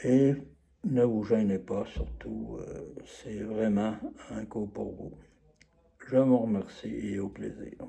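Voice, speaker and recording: A man with a Quebec accent talks at a very slow pace, with long, frequent pauses. His loudness swings widely. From Quebec, Trois-Rivières. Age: 70s. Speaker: course participant giving a testimonial. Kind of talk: testimonial. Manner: halting, many hesitations.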